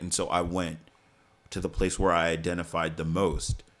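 Fairly even intonation comes through in an American accent, with music playing in the background. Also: man. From New York City, Staten Island. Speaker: stage actor. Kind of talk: casual chat.

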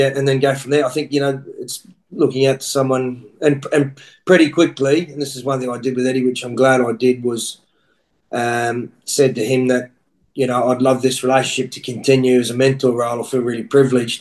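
Speaking fairly quickly with an Australian accent, a man keeps a medium pitch and a monotone, flat intonation. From Australia (Queensland). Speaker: rugby coach. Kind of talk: casual chat.

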